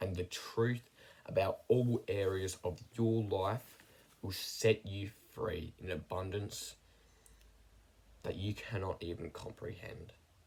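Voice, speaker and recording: Speaking at a very slow pace with long, frequent pauses, a man with a fairly low pitch sounds somewhat breathy and keeps his intonation fairly even. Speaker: self-improvement YouTuber. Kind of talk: personal vlog monologue. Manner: monotone.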